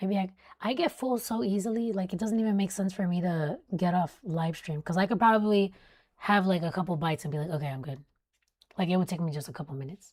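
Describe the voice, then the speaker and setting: A somewhat breathy woman races along at a very fast pace, her medium pitch showing ordinary variation. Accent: American. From South Florida. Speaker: weather live streamer. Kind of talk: live stream commentary. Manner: casual, chatty. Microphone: close mic.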